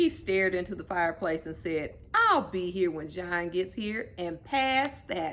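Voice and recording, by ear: The speaker reads aloud in a natural voice, intonation lively throughout.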